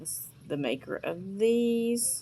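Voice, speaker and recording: A woman speaks in a Southern US accent with lively intonation. The recording is very clean, with a silent background. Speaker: vintage seller. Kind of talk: sales pitch. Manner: casual, chatty.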